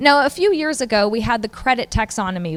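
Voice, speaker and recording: A woman speaks with lively intonation. Her pace is fairly quick. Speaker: researcher presenting at a symposium. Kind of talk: conference presentation. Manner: fast.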